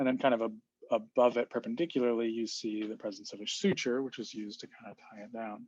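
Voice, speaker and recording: Hardly pausing at all, a man with a medium pitch speaks at a very fast pace with big swings in loudness. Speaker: student giving a class presentation. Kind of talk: recorded class presentation. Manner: hesitant, with fillers and restarts.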